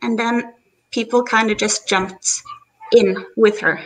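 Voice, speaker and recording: A woman with a non-native accent speaks at a fairly high pitch. Her pace is fairly slow. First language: not English. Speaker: viewer joining a live stream. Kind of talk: casual chat. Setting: live stream call from computer. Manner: halting. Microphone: echo, feedback.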